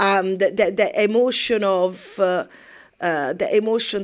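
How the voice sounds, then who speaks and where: The recording is very clean, with a silent background. A woman with an Italian accent speaks at a medium pitch and keeps her intonation fairly even. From Italy. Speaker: podcast co-host, massage therapist. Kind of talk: casual chat.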